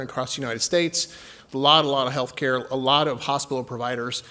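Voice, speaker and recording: This man speaks very fast with a slight Texan accent. His voice is fairly high in pitch, with a bright, sharp tone. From Texas. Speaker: healthcare company executive. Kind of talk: conference presentation. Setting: stage with audience.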